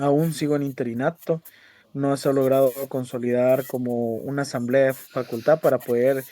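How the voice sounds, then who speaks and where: Speaking at a fairly slow pace, a man uses a medium pitch and fairly even intonation in a dark, mellow tone. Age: 20s. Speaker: university student and researcher. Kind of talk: research interview.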